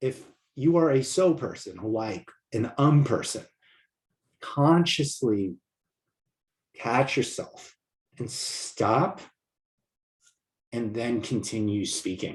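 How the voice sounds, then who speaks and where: A man at a very slow pace, medium in pitch and somewhat breathy, with lively intonation and long, frequent pauses. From New York. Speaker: communication coach. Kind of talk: online course lecture. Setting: video recording to camera. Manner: little voice modulation.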